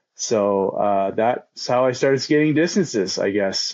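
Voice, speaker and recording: A man speaks in a normal speaking voice with a Canadian accent. His pitch is medium with ordinary variation, at a moderate pace. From Eastern Canada, near Toronto. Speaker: long-distance skateboarder. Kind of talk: casual chat.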